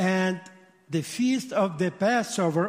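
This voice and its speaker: The speaker has a strong Russian accent and lively intonation. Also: man. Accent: heavy Russian-accented English. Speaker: rabbi and missionary. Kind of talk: sermon. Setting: church. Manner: animated.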